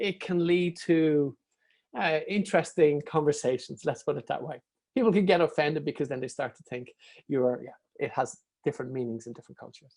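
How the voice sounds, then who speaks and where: A man with a strong Irish accent and a fairly high voice speaks at a fairly quick pace, his pitch varying in an ordinary way and his loudness swinging widely, against a quiet background. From Ireland. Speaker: comedian and author. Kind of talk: interview answer.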